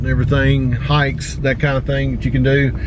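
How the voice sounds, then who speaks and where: A man with a Tennessee accent speaks over noticeable background noise, the sound dry with no echo. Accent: Southern US (Tennessee). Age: 50s. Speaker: outdoor vlogger. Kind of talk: casual vlog narration. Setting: in a car on road trip. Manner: casual, filler-heavy. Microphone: phone near.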